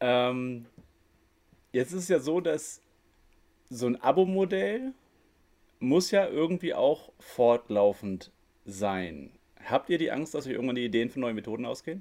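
Speaking at a fairly slow pace with long, frequent pauses, a man uses a medium pitch and very wide pitch swings. His tone is dark and mellow. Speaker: podcast host. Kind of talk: interview. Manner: halting, with pauses.

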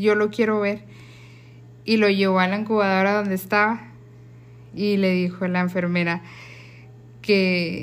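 Pausing long and often, a woman at a medium pitch talks at a fairly slow pace with fairly even intonation. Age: 30s. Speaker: sister. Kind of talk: casual family conversation.

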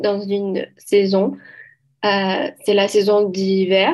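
Very slowly, a woman talks in a medium pitch. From Brazil, Minas Gerais. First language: Portuguese (speaking French). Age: 20s. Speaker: conversation group moderator. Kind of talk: casual discussion. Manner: halting.

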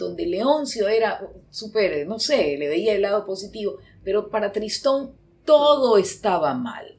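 Very slowly, a woman speaks with a fairly high pitch that moves in very wide swings. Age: 60s. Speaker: psychologist. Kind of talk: casual chat.

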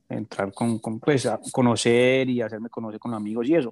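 Using an Antioquian accent, a man speaks at a medium pitch and a fairly quick pace in a monotone, flat way, the sound dry and close with no echo in a very clean recording with a silent background. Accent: Colombian paisa Spanish. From Colombia, Medellín (paisa). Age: 30s. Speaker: entrepreneur. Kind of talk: interview. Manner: halting, repeats words.

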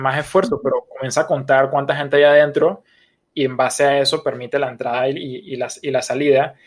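Speaking at a moderate pace, a man with a plain, everyday voice keeps a fairly high pitch and fairly even intonation. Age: 30s. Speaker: podcast co-host. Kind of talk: casual chat.

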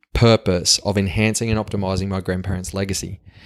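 A man speaks with a strong Australian accent at a fairly quick pace. The recording is very clean, with a silent background. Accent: strong broad Australian. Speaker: podcast host. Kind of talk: solo monologue. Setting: home kitchen. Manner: animated.

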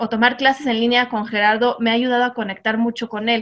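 A woman's fairly high voice comes through over a quiet background. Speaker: mom influencer. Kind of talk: casual chat. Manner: loud.

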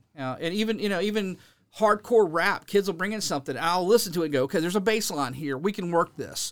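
A man talks at a very fast pace with a high pitch. His pitch varies in an ordinary way. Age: 50s. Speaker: musician and music teacher. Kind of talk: casual chat. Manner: animated.

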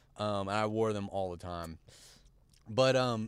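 Speaking at a fairly slow pace, a man uses a fairly low pitch. The recording is very clean, with a silent background. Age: 20s. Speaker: fashion brand founder. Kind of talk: casual chat. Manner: halting, many fillers.

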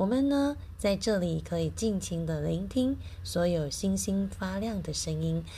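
Audible room echo surrounds a woman who talks at a fairly slow pace. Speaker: podcast host and teacher. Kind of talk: casual radio-style talk.

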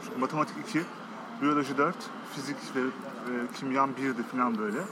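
Fairly high-pitched man at a fairly quick pace, with noticeable background noise. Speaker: commercial film director. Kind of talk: casual interview. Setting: cafe.

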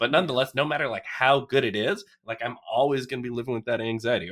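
A man talks at a fairly quick pace in a normal speaking voice. His pitch is medium. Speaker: guest co-host, former gaming friend. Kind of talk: casual chat.

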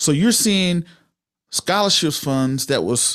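Using a plain, everyday voice, a man with an American accent speaks at a moderate pace with ordinary pitch variation, in a very clean, silent recording with a dry, close sound and no echo. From Georgia, US South (Waynesboro near Augusta). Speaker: military veteran and podcaster. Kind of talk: casual interview.

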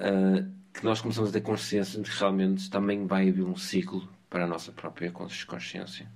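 An unremarkable speaking voice from a man, fairly low in pitch. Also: fairly even intonation, moderate pace. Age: 30s. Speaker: podcast co-host. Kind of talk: casual philosophical conversation.

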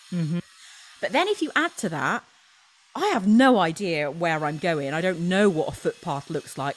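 A British accent marks this woman's speech, set fairly low in pitch. She goes at a moderate pace with ordinary pitch variation. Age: 40s. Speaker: trail runner and motivational speaker. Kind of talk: casual chat.

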